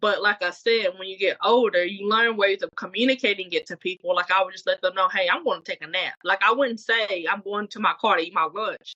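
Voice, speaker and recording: A woman's plain, everyday voice at a medium pitch, fairly quick and with hardly any pauses, in fairly even intonation. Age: 30s. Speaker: podcast co-host. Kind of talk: casual chat. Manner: conversational, filler-heavy.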